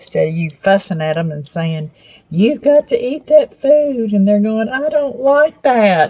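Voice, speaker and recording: Fairly slowly and in a Southern US accent, a woman speaks at a fairly high pitch with very wide pitch swings. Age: 70s. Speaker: cooking channel host. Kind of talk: cooking tutorial. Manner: casual, conversational.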